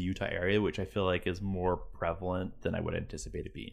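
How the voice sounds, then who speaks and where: Very deep and low, the man's voice holds a monotone, flat intonation. He keeps a moderate pace. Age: 30s. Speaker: podcast host. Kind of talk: casual chat. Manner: halting.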